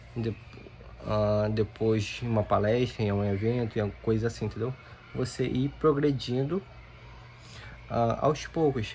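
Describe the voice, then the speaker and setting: At a fairly slow pace, a man with a medium-pitched, somewhat breathy voice speaks with fairly even intonation and long, frequent pauses. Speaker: youtuber. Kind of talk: casual talk to camera, unscripted advice. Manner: halting, with repetitions.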